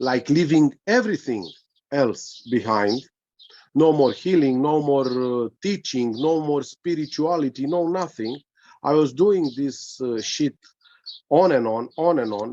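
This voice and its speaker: Dark, mellow male voice with a Romanian accent, fairly high pitch and ordinary pitch variation, at a fairly slow pace with long, frequent pauses. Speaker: spiritual teacher. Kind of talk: casual chat. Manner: halting.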